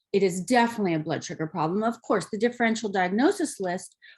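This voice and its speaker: Against a quiet background, a woman rattles along at a very fast pace in a somewhat breathy, medium-pitched voice with lively intonation. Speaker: naturopathic doctor. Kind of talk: lecture. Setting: slide presentation.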